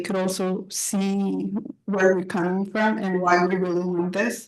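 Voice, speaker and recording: A woman with a Spanish accent talks at a fairly slow pace. The background is quiet. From Calistoga, California. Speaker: parent speaking at public comment. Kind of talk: public comment. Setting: public board meeting.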